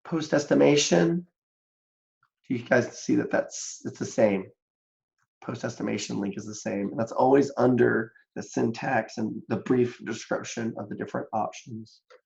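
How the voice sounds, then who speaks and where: A man speaks at a moderate pace and medium pitch with lively intonation. Vocal fry runs through his voice. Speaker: statistics instructor. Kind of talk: lecture. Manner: casual, conversational.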